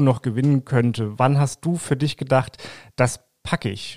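Medium in pitch and fairly even in intonation, the man speaks in an unremarkable speaking voice. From Lower Saxony, Langenhagen near Hanover. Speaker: political podcast host, journalist. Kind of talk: interview.

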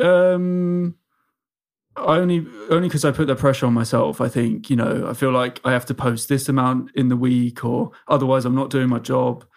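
On a very clean recording with a silent background, a man with an English accent speaks at a moderate pace and medium pitch, with ordinary pitch variation and very even loudness. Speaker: social media comedian. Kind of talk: casual chat.

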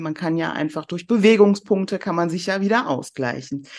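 Against a quiet background, a woman with a plain, everyday voice talks at a moderate pace and medium pitch, with ordinary pitch variation. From Germany, near Cologne (born in southern Iran). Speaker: restaurateur and weight-loss success story. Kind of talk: casual chat.

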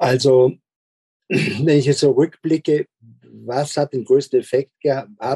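Very slowly and with long, frequent pauses, a man speaks in a somewhat breathy, dark, mellow tone with fairly even intonation, the sound dry and close with no echo. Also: fairly high pitch for a man. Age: 60s. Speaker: school principal. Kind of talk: interview.

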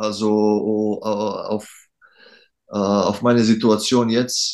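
In quiet surroundings, the man's voice holds a medium pitch. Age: 30s. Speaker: professional basketball player. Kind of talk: interview. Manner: halting.

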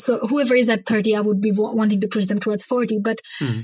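A woman speaks at a very fast pace, somewhat breathy and fairly high in pitch. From Bangladesh, Dhaka. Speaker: climate activist and economist. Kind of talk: interview.

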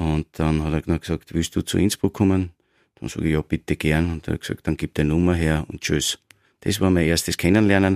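In a very clean recording with a silent background and a dry, close sound with no echo, a man talks at a fairly quick pace in a very deep, low pitch with fairly even intonation. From Austria, Styria (Graz). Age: 50s. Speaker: football coach and former player. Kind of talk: casual interview.

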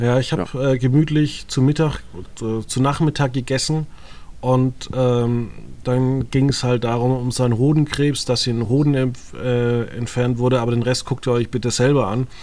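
Monotone and flat, a man talks at a moderate pace and medium pitch in a dark, mellow tone. His loudness stays very even. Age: 30s. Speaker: podcast host. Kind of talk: casual chat.

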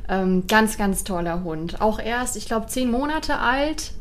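Audible room echo surrounds a woman speaking at a fairly slow pace and a fairly high pitch. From Germany. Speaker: animal welfare volunteer, dog trainer. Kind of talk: casual chat. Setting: recorded on location in Portugal.

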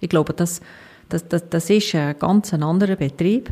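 Somewhat breathy, a woman speaks at a fairly low pitch. Her pitch shows ordinary variation. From Emmental, canton of Bern, Switzerland. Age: 40s. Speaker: hospital CEO. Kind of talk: interview.

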